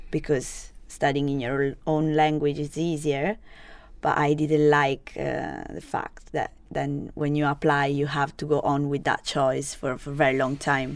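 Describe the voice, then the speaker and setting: A woman with an Italian accent speaks at a fairly slow pace in a very deep, low pitch with monotone, flat intonation. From Italy (Genoa, Sardinian family). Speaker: online student and restaurant worker. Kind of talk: interview. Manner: halting.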